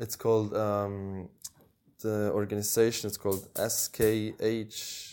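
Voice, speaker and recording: In a very clean recording with a silent background, a man speaks at a very slow pace and a fairly low pitch, with a dark, mellow tone and monotone, flat intonation. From Switzerland, small village. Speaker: traveller. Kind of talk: casual interview. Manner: hesitant, many fillers.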